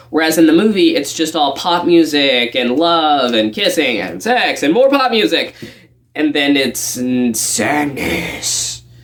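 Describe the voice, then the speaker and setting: The man's pitch is fairly high and swings very widely. Noticeable background noise sits behind him. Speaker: video essayist. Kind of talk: commentary talk to camera.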